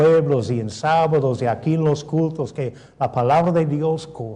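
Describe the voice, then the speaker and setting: A somewhat breathy man at a fairly high pitch and fairly slow pace, with a dark, mellow tone, ordinary pitch variation and audible room echo. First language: English (speaking Spanish). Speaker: pastor. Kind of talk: sermon.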